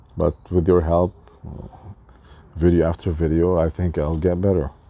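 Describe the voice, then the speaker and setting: A man's very deep, low voice in a monotone, flat delivery at a moderate pace, with noticeable background noise. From Lebanon. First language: Arabic and French. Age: 40s. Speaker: spiritual life coach. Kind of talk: casual talk to camera. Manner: halting.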